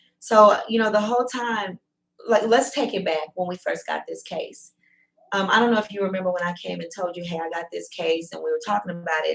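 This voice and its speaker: Speaking at a medium pitch, a woman uses an ordinary speaking voice with ordinary pitch variation. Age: 40s. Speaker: true crime podcast host. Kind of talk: casual panel discussion.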